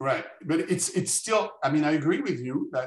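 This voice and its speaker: Somewhat breathy, a man's fairly high voice moves at a moderate pace. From France. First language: French. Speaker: neuromarketing expert, speaker. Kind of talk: lecture.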